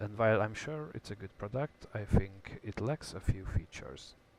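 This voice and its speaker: Speaking at a moderate pace with a non-native accent, a man with a fairly low pitch is heard on a very clean recording with a silent background. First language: not English. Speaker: DIY hobbyist YouTuber. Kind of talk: tutorial.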